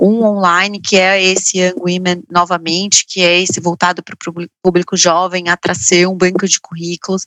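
A woman at a moderate pace, in a monotone, flat intonation. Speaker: founder of women's finance education project. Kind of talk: interview.

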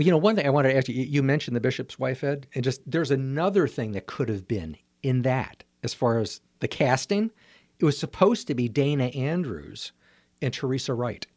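An unremarkable speaking voice from a medium-pitched man at a fairly quick pace, on a very clean recording with a silent background. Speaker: art show host, guest. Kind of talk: casual radio conversation. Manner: warm, friendly, cheerful.

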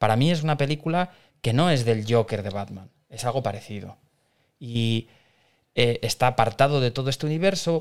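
On a very clean recording with a silent background, a man with an unremarkable speaking voice talks at a fairly quick pace in a medium pitch with lively intonation. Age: 40s. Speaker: podcast co-host. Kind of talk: casual chat.

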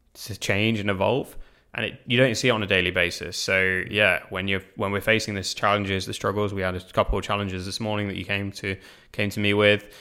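A man with a British accent talks very fast at a fairly low pitch in a monotone, flat intonation. His tone is bright and sharp on a very clean recording with a silent background. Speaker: business director. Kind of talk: casual chat.

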